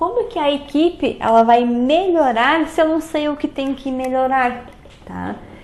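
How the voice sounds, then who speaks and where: The delivery is very slow. Room echo can be heard. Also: woman. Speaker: teacher. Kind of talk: lecture.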